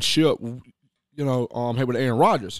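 In a very clean recording with a silent background, a man talks in an animated tone. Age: 30s. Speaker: sports radio co-host. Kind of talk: casual sports talk. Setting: radio studio.

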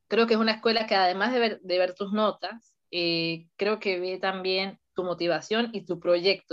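A woman speaks at a medium pitch with ordinary pitch variation. She has an ordinary speaking voice. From Venezuela, Mérida. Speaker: engineering student, civil engineer. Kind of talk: interview.

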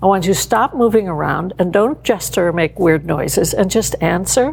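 Talking at a fairly quick pace over noticeable background noise, a woman uses a medium pitch and ordinary pitch variation. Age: 70s. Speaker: business founder and author on human behavior. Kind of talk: interview. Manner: animated.

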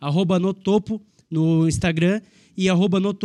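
A man speaks at a moderate pace with a high-pitched voice. His intonation stays fairly even over a silent background in a very clean recording. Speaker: podcast co-host. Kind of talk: sponsor reads and interview.

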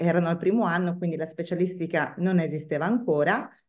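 Someone with a northern Italian accent talks at a fairly quick pace. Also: woman. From northern Italy, Bergamo. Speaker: wine sales expert. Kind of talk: interview.

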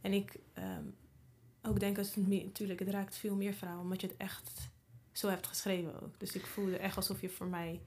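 With vocal fry and fairly even intonation, a woman of medium pitch speaks at a moderate pace. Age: 30s. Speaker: podcast host. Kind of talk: casual interview chat; promotional outro.

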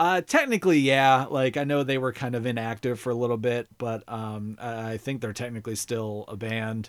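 In a normal speaking voice, a man talks at a medium pitch and a moderate pace with hardly any pauses, on a very clean recording with a silent background. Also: ordinary pitch variation. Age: 30s. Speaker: podcast host, guest. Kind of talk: casual chat.

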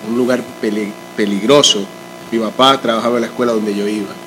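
Against noticeable background noise, a man talks at a moderate pace with a medium pitch. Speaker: guest, pastor's son. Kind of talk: casual interview chat.

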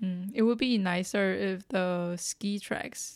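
Speaking with a Chinese accent, a woman talks at medium pitch. Her pace is very slow. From Taiwan. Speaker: podcast co-host. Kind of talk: casual chat.

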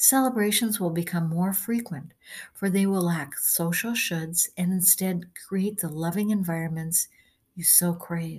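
Somewhat breathy at a medium pitch, a woman speaks at a fairly slow pace with ordinary pitch variation. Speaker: channeler reading her blog. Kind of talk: reading aloud.

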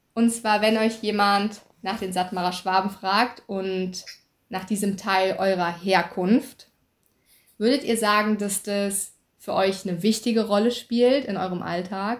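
A woman with an unremarkable speaking voice and medium pitch talks at a fairly slow pace. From German-speaking upbringing (native German). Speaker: podcast host. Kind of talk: interview.

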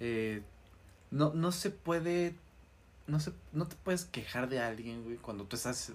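With a Mexican accent, a man speaks at a moderate pace, using very wide pitch swings and long, frequent pauses. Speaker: podcast co-host. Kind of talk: casual chat. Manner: quieter near the end.

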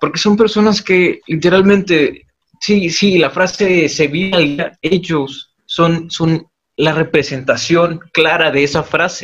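A man's high-pitched voice at a very slow pace, with very even loudness. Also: ordinary pitch variation. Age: 20s. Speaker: university student, podcast co-host. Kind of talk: casual group discussion.

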